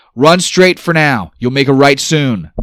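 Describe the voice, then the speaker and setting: In a put-on character voice, a man speaks at a moderate pace with a raised, projected voice and a fairly high pitch. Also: ordinary pitch variation. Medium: read story. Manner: brash, commanding.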